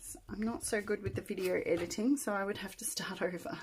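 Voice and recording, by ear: Putting on a character voice, a hoarse woman speaks fairly quickly at a medium pitch with lively intonation over light background noise.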